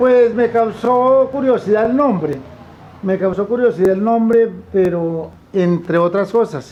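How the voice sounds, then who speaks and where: Talking at a fairly slow pace with ordinary pitch variation, a man comes through over noticeable background noise. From Colombia, Tolima (Purificación). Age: 70s. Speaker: farmer. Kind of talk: testimony.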